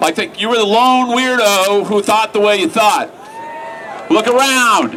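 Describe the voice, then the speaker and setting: Over crowd noise in the background, a man with a high pitch uses a raised, projected voice at a fairly slow pace, with ordinary pitch variation. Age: 60s. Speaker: activist speaker. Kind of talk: rally speech. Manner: conversational, rhetorical 'right?'.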